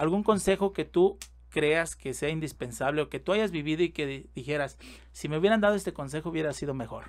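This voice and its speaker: A man talks in a plain, everyday voice at a fairly high pitch. His pace is fairly quick, with ordinary pitch variation. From Mexico. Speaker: podcast host and music producer; podcast host. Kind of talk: casual interview. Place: studio. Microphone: studio mic.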